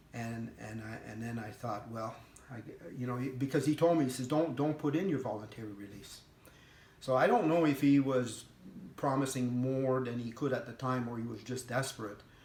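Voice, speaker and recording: A medium-pitched man at a moderate pace, with ordinary pitch variation, big swings in loudness and audible room echo. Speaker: veteran with PTSD. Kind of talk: personal testimony. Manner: halting.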